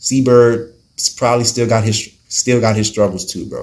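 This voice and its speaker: A man speaks with a fairly low pitch. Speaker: YouTuber vlogging about recovery. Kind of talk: casual personal vlog. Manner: animated, repetitive.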